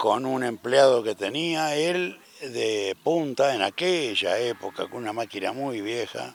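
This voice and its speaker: Over noticeable background noise, a man at medium pitch speaks at a very slow pace with lively intonation. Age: 70s. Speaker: agricultural business founder. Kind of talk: interview testimony.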